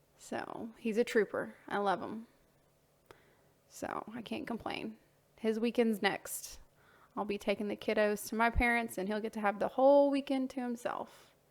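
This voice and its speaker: A woman with an American accent, fairly high in pitch, at a moderate pace with fairly even intonation and long, frequent pauses. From US South. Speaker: voice-over narrator, artist's wife. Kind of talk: casual narration. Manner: chatty, with hesitations.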